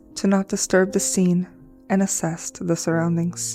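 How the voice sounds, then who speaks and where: Over music in the background, a woman with a fairly low pitch speaks at a moderate pace with lively intonation. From Brazil. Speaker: crafter and storyteller. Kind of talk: personal paranormal story told to camera. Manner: stuttering.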